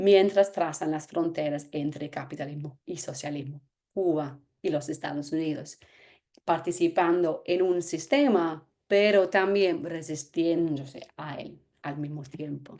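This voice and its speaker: A woman's fairly low voice with an English accent, at a very slow pace with ordinary pitch variation. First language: English (speaking Spanish). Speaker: anthropologist. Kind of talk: lecture.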